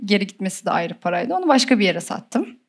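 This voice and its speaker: Lively intonation runs through a normal speaking voice delivered at a fairly quick pace. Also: woman. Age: 20s. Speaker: e-commerce entrepreneur. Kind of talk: interview. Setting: studio with audience.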